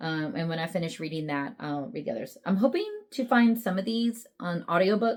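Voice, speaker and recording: Lively intonation runs through a woman's fairly low voice. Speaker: book vlogger. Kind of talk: casual vlog talk. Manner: fast.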